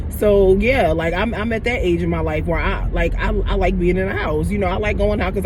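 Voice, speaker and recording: Noticeable background noise sits under the voice. The words come at a fairly quick pace. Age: 30s. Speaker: spiritual healing vlogger. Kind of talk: casual vlog monologue. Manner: casual, repetitive with fillers.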